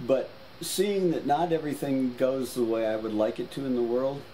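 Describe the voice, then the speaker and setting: A man with an American accent at a moderate pace, ordinary pitch variation, and noticeable background noise. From US South, New Orleans. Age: 70s. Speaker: painter. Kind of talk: casual chat.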